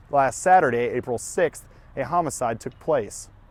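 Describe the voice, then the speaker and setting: At a moderate pace, this man talks in an ordinary speaking voice, fairly high in pitch and with ordinary pitch variation. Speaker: news and sports reporter. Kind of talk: broadcast news reporting. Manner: clear, professional news anchor delivery.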